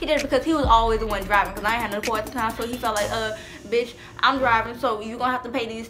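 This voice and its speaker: Clear music plays in the background while a woman speaks at a high pitch. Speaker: vlogger. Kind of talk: casual storytime vlog chat. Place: home room. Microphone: camera far.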